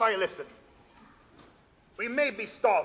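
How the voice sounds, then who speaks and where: In a put-on character voice, a man talks at a moderate pace, gruff yet extremely high in pitch. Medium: stage play. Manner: gruff, mishearing.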